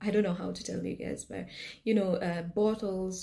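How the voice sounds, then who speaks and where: Here a woman speaks with a Kenyan accent at a moderate pace. Her intonation is monotone and flat. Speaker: health scientist and business owner. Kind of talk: personal storytelling vlog. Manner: hesitant, many fillers.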